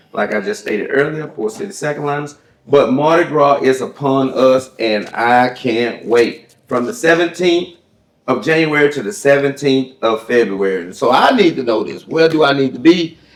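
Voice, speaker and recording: A man with a Southern US accent talks at a moderate pace in a fairly high voice. His intonation is lively. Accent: Southern American. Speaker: talk show host. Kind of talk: casual chat. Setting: cigar lounge.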